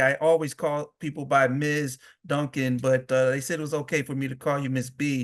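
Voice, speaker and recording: A man with a fairly high pitch at a moderate pace, a plain, everyday voice, over a quiet background. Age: 60s. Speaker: webinar moderator, advocacy director. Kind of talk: webinar moderation. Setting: webinar.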